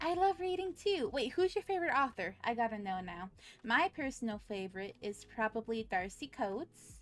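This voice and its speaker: With music in the background, a woman with a fairly high pitch talks at a moderate pace, her pitch swinging very widely. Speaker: vtuber streamer. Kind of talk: casual live stream chat. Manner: animated.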